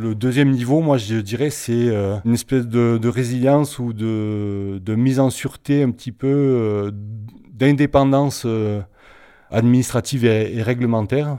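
With a dark, mellow tone, a man speaks at a medium pitch and a fairly slow pace with fairly even intonation. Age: 50s. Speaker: organic cattle farmer. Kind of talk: testimony. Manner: halting.

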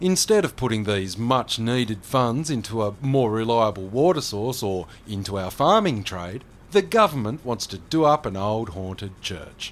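A man speaks with a strong Australian accent. His pace is moderate and his intonation lively. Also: medium pitch for a man. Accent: broad Australian. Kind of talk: scripted audio drama dialogue. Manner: gruff, blunt, hearty.

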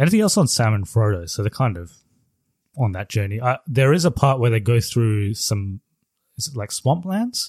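In a very clean recording with a silent background and a dry, close sound with no echo, a man speaks at a moderate pace with lively intonation and a somewhat breathy voice. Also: medium pitch for a man. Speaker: podcast host. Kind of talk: casual chat. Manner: chatty, informal.

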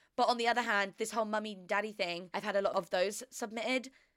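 Her tone comes across as bright and sharp. The voice belongs to a woman. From Australia. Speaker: podcast host. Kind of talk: casual chat. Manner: animated; rambling.

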